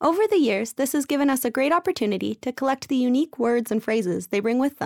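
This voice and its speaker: On a very clean recording with a silent background, a woman with a Canadian accent talks very fast in a high voice with lively intonation, the sound dry and close with no echo. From Canada. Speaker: podcast host. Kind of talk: scripted narration and interview.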